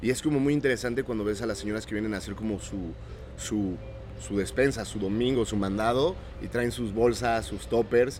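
A man at medium pitch with ordinary pitch variation and a fairly quick pace, over background music. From Oaxaca, Mexico. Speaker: organic market owner. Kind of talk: casual interview chat.

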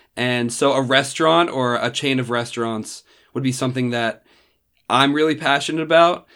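In a very clean recording with a silent background, a man with an American accent uses an ordinary speaking voice at medium pitch with ordinary pitch variation. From New Jersey (Randolph, near New York City). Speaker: college student. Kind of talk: casual chat.

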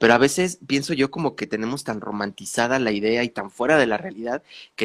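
With a plain, everyday voice, a man of medium pitch speaks at a moderate pace in a dry, close sound with no echo. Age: 30s. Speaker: podcast host, spiritual coach. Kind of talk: casual chat.

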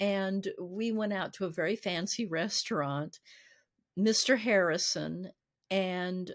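The recording is very clean, with a silent background. A woman speaks very slowly at a medium pitch. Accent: American. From US South, Nashville, Tennessee. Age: 60s. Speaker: voice actress and singer. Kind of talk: interview, casual chat.

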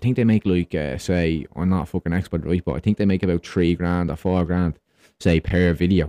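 A man with an Irish accent speaks at a fairly quick pace in a very deep, low pitch with a dark, mellow tone. His intonation is fairly even, the sound dry and close with no echo over a quiet background.

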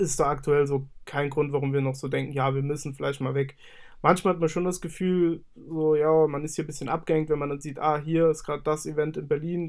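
Over a very clean recording with a silent background, a man talks at a very fast pace in a fairly high, monotone, flat voice. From Saarland, Germany. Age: 20s. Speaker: music studio owner and artist manager. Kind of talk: casual interview.

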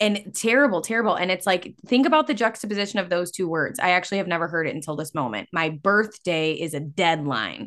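A woman with an American accent at a medium pitch, lively intonation, a very fast pace with hardly any pauses, and a quiet background. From Illinois. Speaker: podcast host and coach. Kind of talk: casual chat.

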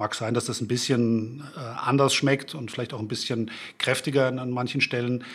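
With a Frankfurt accent, a man speaks at a moderate pace and medium pitch. His intonation is monotone and flat. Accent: Frankfurt German accent, still noticeable. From Germany, Frankfurt. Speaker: beer blogger. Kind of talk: casual chat. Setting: studio.

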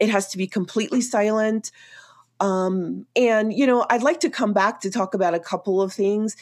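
Speaking in an ordinary speaking voice with an American accent, a woman uses a medium pitch with ordinary pitch variation at a moderate pace, on a very clean recording with a silent background. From New York City (Queens). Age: 50s. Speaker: outdoor media creator and army veteran. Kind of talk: interview conversation.

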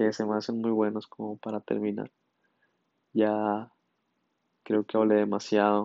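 A man talks in a monotone, flat intonation, with long, frequent pauses. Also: fairly slow pace. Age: 20s. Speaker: podcast host, engineering student. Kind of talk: casual solo monologue. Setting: solo recording at night.

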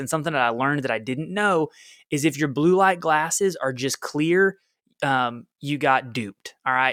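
On a very clean recording with a silent background, a man with an energetic, bright and sharp tone speaks at a moderate pace. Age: 30s. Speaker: fitness coach podcast host. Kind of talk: solo podcast monologue. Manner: casual, energetic.

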